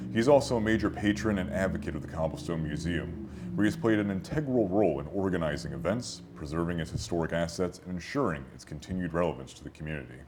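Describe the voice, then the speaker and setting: With music in the background, a man with a very deep, low voice talks at a very fast pace with lively intonation. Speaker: museum intern, interviewer. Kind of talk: formal scripted introduction.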